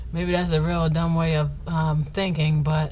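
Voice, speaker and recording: A woman's fairly slow speech comes with audible room echo. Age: 30s. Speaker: vlogger. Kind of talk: casual Q&A vlog.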